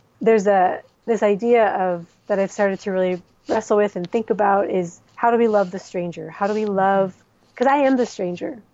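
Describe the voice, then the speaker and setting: A woman with an American accent speaks at a fairly quick pace in an unremarkable speaking voice. Her pitch is medium and her intonation fairly even. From US Midwest. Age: 40s. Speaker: expatriate author. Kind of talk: casual interview.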